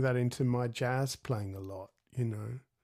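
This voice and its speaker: At a fairly slow pace, a man with an Australian accent speaks in a medium pitch with ordinary pitch variation, in a very clean recording with a silent background. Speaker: guitarist and podcast host. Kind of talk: interview.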